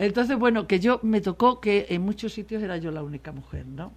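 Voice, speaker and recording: Vocal fry runs through this woman's voice. She speaks at a fairly quick pace. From Spain, Extremadura (Mérida). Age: 60s. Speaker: political journalist. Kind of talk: radio interview. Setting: radio studio.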